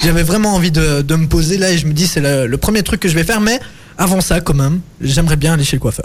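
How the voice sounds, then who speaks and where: The speech runs at a very fast pace with ordinary pitch variation and very even loudness. Noticeable background noise sits behind it. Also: man. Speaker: student radio host. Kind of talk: casual radio show. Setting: video call. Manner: animated.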